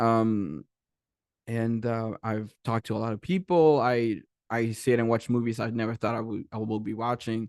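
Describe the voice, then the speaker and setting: A man of medium pitch with a Spanish accent and ordinary pitch variation, dry and close with no echo over a quiet background. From Mexico, Tijuana. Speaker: animation creator and director. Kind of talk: panel presentation. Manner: fast when excited; halting, many fillers and restarts.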